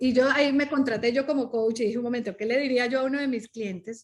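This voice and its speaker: High-pitched female speech, fairly quick, its pitch varying in an ordinary way. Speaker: coach and speaker. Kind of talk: podcast interview. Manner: animated.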